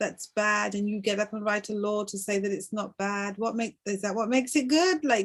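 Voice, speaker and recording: A woman's fairly high voice at a moderate pace, with a non-native accent. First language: not English. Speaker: broadcast host. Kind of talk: interview conversation. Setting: livestream broadcast.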